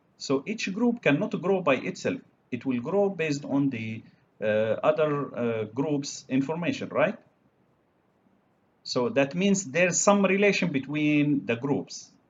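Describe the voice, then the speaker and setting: Somewhat breathy and at a fairly slow pace, a man with an Arabic accent speaks in a fairly high pitch that swings very widely. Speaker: university lecturer. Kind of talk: lecture. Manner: halting, many fillers.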